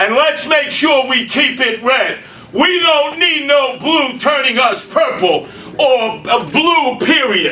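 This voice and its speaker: A man with an American accent uses a raised, projected voice at an extremely high pitch, with ordinary pitch variation and very even loudness. He speaks at a very slow pace, with audible room echo and noticeable background noise. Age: 70s. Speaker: mayoral candidate. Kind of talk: political speech. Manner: animated.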